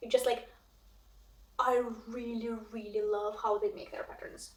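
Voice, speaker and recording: In a Russian accent, the voice makes very wide pitch swings, with audible room echo around it. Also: woman. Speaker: cross stitch vlogger. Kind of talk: casual vlog chat. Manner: hesitant, many fillers.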